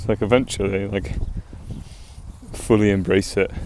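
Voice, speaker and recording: In an English accent, a man talks with a fairly low voice. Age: 20s. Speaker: vlogger. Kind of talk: casual monologue. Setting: outdoors, walking. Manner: rambling.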